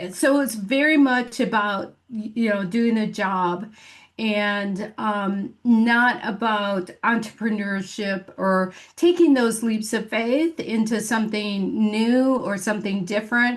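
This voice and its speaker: A woman with a Michigan accent talks at a very slow pace in a fairly high, somewhat breathy voice with ordinary pitch variation. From Michigan, US Midwest. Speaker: business coach. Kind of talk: podcast interview. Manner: many fillers and false starts.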